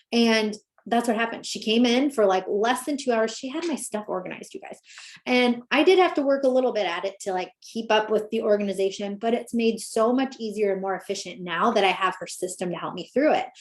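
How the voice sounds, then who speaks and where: This woman's fairly high voice has lively intonation and an animated tone. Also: fairly quick pace. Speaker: business coach. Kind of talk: webinar presentation. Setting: live video call. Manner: fast.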